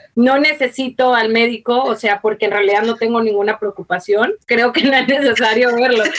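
With an unremarkable speaking voice, a woman talks at a moderate pace and a fairly high pitch, with hardly any pauses. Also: fairly even intonation, very even loudness. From Mexico. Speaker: mother of a child with a rare disease. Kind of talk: personal testimony in interview.

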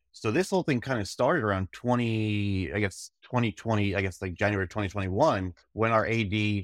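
In an unremarkable speaking voice, a man talks at a fairly quick pace with hardly any pauses, fairly low pitch and ordinary pitch variation, on a very clean recording with a silent background and a dry, close sound with no echo. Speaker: sports administrator. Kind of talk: casual interview chat.

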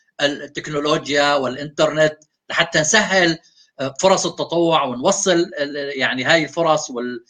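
At a fairly slow pace, a man talks in a bright, sharp tone with ordinary pitch variation. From Syria. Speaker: founder of a volunteering platform. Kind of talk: interview.

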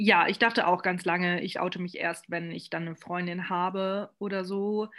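In a very clean recording with a silent background, a woman speaks fairly slowly with a monotone, flat intonation. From Saarland, Germany. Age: 20s. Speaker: podcast host. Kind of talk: casual chat.

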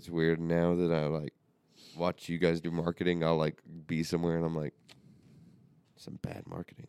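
Long, frequent pauses break up a dark, mellow voice that stays monotone and flat, recorded dry and close with no echo. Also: man, very deep, low pitch for a man, moderate pace. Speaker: family member and co-host, plant grower. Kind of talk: casual family chat. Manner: joking, laid-back.

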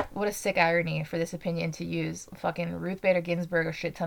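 A woman with an American accent at a very fast pace, against noticeable background noise. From Utah. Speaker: podcast host. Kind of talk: political commentary monologue.

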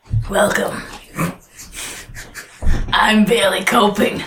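A man puts on a character voice. It is raspy and high-pitched. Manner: playful, comedic.

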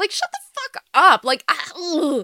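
This woman talks with an American accent. Her voice is recorded dry and close, free of echo. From US, Los Angeles area (Iranian American). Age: 18. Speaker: college student podcaster. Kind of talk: casual vlog monologue. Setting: home video recording.

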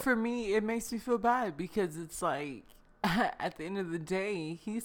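A woman with an ordinary speaking voice talks fairly slowly at medium pitch with lively intonation. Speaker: podcast co-host. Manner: casual, conversational.

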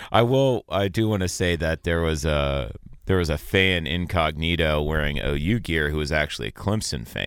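On a very clean recording with a silent background, a man talks at a moderate pace in a very deep, low voice with vocal fry, a bright, sharp tone and ordinary pitch variation. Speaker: former river guide, outdoors show co-host. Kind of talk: casual chat. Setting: studio.

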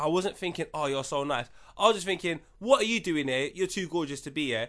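A high-pitched man in a bright, sharp, animated tone at a very fast pace with lively intonation, against a quiet background. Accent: London. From London. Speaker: podcast co-host. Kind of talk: casual chat.

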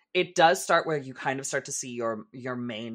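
The recording is very clean with a silent background. A man speaks in a medium pitch. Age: 30s. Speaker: podcast co-host. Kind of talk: casual chat. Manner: animated.

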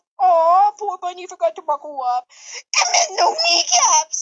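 At an extremely high pitch, someone performs a put-on character voice. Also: moderate pace. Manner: cursed, cartoonish, laughing; mocking.

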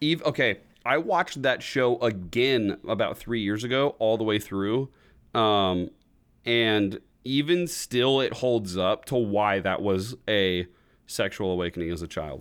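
Using an unremarkable speaking voice, a man speaks at a medium pitch and fairly slow pace with lively intonation. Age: 20s. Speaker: podcast host. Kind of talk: casual chat.

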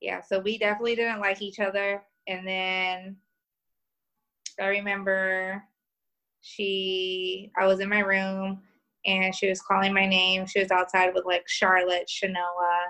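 In a strong Southern US accent, a woman with a medium-pitched, bright, sharp voice talks at a fairly slow pace in a monotone, flat way, with long, frequent pauses against a quiet background. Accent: thick southern, small-town country twang. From New York. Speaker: podcast guest.

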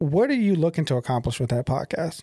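Speaking fairly quickly with a Southern US accent, a man has a dark, mellow tone on a very clean recording with a silent background. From Tennessee. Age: 30s. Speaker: podcast host. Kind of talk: casual interview.

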